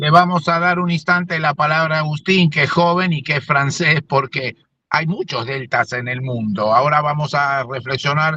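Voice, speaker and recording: A man with a normal speaking voice talks at a moderate pace with hardly any pauses. His pitch is fairly high, with ordinary pitch variation. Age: 60s. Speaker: radio host and agronomist. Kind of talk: interview conversation.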